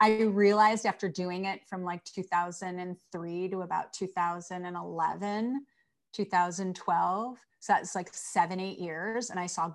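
In an American accent, a woman with a normal speaking voice talks at a moderate pace and medium pitch, her intonation fairly even but her loudness swinging widely. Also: very clean recording, silent background. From Chicago, US Midwest. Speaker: aromatherapy educator and entrepreneur. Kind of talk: interview. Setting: home video studio.

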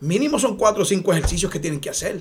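A man's high voice with very wide pitch swings. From Puerto Rico, Aguas Buenas. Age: 50s. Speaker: retired police officer. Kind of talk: interview.

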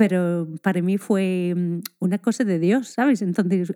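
Speaking at a very slow pace, a woman with a dark, mellow tone and ordinary pitch variation is heard in a very clean recording with a silent background and a dry, close sound with no echo. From Scotland. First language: English (speaking Spanish). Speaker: primary school teacher. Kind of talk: casual interview chat.

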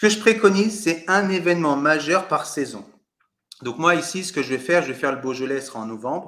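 This man's bright, sharp tone moves at a moderate pace with lively intonation. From Paris suburbs, France. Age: 40s. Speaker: real estate adviser and coach. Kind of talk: interview.

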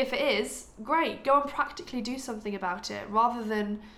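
Ordinary pitch variation in a recording with audible room echo. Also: woman. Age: 20s. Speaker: podcast co-host, medical student. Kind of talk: casual chat.

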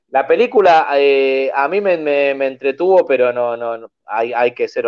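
A man talks with a Rioplatense accent. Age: 40s. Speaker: horror film podcast host. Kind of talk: casual chat.

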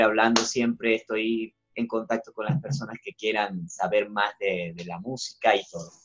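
A man is talking. Music plays in the background. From Venezuela, Zulia. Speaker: singer-songwriter. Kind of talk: interview.

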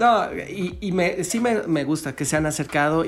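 Speaking at a very slow pace, a man uses a fairly high pitch. His pitch variation is ordinary. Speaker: podcast co-host. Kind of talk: casual chat. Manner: halting.

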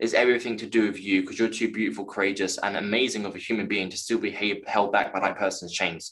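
A man with a London accent speaks at a very fast pace with hardly any pauses. His pitch is fairly low and his intonation fairly even. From West London, England. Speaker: actor and author. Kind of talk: interview about personal trauma. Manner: halting.

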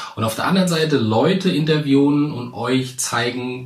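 A man's voice at a fairly slow pace with ordinary pitch variation, amid noticeable background noise and audible room echo. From central Hesse, Germany. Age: 30s. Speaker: podcast host, public speaking coach. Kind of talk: solo podcast introduction.

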